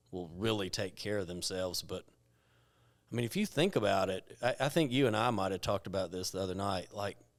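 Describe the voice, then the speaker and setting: On a very clean recording with a silent background, a man with an ordinary speaking voice talks at a fairly quick pace, with a fairly low pitch and ordinary pitch variation. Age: 30s. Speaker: men's health clinic owner. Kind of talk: casual chat. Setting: studio.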